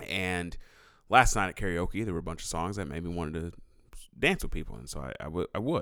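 Recorded very cleanly against a silent background, a man with a very deep, low pitch and a bright, sharp tone talks fairly quickly, showing vocal fry, ordinary pitch variation and big swings in loudness. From San Diego. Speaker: podcast co-host, musician. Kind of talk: casual chat. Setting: home studio.

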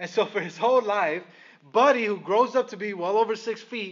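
The speaker is a man with a high voice. He talks at a fairly quick pace. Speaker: pastor. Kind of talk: sermon. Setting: church. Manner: fast.

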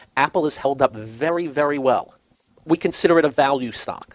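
At a fairly quick pace and fairly high pitch, a man talks in an unremarkable speaking voice. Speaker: radio host. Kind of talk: radio host patter. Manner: brisk, chatty, upbeat; plainspoken, folksy, punchy.

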